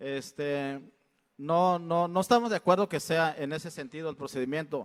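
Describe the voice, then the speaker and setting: This man's fairly high voice shows ordinary pitch variation on a very clean recording with a silent background. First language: Mixtec (speaking Spanish). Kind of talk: public address at consultation. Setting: state congress hall. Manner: halting, with fillers.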